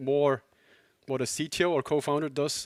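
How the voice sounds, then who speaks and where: A man with a Swiss German accent, his pitch fairly high, at a moderate pace, in a dry, close sound with no echo and a very clean recording over a silent background. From Switzerland, near Zurich. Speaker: tech company co-founder and CTO. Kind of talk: conference talk.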